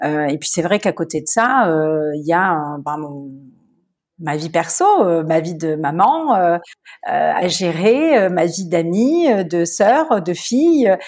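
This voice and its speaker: Her voice is fairly low for a woman, with lively intonation. She speaks very slowly. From southern France, Marseille. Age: 40s. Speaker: wedding planner and entrepreneur. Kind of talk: interview.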